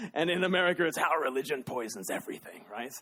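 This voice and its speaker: A man talks in an Australian accent. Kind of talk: public talk to live audience.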